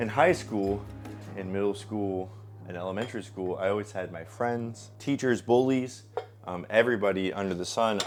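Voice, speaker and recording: A man with an American accent speaks at a fairly low pitch with fairly even intonation. Noticeable background noise is present. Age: 20s. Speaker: streamer. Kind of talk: casual vlog monologue. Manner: casual, with many filler ums.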